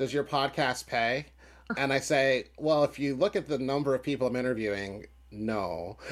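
A man with a plain, everyday voice speaks at a moderate pace with lively intonation and a fairly high pitch. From US, Philadelphia. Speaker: musician and podcaster. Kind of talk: casual interview.

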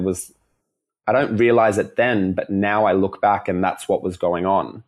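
In an Australian accent, a man talks at a moderate pace with a fairly low pitch and fairly even intonation against a quiet background. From Melbourne, Australia. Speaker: dancer and performer. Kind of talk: casual chat.

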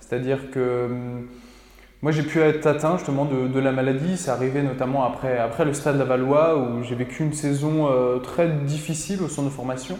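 With noticeable background noise and audible room echo, a man with a fairly high pitch talks at a moderate pace in a fairly even intonation. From France, Mayenne (Laval). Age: 20s. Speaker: podcaster and cinema worker, former footballer. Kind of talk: casual interview. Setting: studio. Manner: halting, many fillers.

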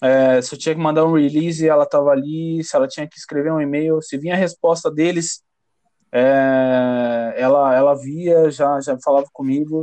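A man talks at a moderate pace in a fairly high pitch, his tone dark and mellow. His intonation stays flat and monotone while his loudness swings widely. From São Paulo, Brazil. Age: 20s. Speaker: DJ. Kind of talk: casual chat.

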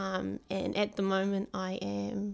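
A woman talks with a New Zealand accent. The recording is very clean, with a silent background. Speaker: psychology doctoral student. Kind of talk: casual chat.

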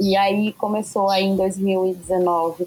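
At medium pitch, a woman speaks in a dark, mellow tone with fairly even intonation. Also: dry, close sound with no echo. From southern Minas Gerais, Brazil. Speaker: music career manager and entrepreneur. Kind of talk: interview.

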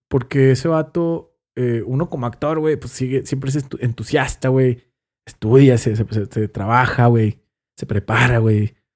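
At a fairly slow pace, a man uses a plain, everyday voice at medium pitch with ordinary pitch variation. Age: 30s. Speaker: actor and musician. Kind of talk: casual chat.

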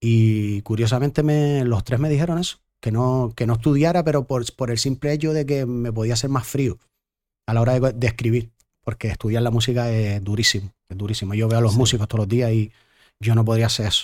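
In a plain, everyday voice, a man speaks at a fairly quick pace and medium pitch with ordinary pitch variation, on a very clean recording with a silent background. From Canary Islands, Gran Canaria. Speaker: singer-songwriter. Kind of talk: casual chat.

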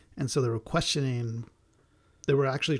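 The recording is very clean, with a silent background. A man speaks in a somewhat breathy voice with fairly even intonation. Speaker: podcast co-host. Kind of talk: casual chat.

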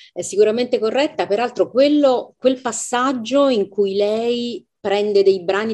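A woman speaks slowly-ish, at a fairly slow pace, in a dark, mellow tone. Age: 50s. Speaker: literary translator and professor. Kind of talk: book club discussion. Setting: video call.

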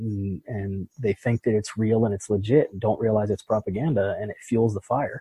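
A man with an American accent speaks in a dark, mellow, somewhat breathy tone and a flat monotone, recorded dry and close with no echo. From Pittsburgh, US. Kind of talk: interview.

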